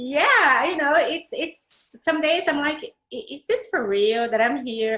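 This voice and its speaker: A woman speaks with a Brazilian accent. Her pace is fairly slow. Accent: Brazilian Portuguese accent, lasting. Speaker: Pinterest strategist. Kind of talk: interview.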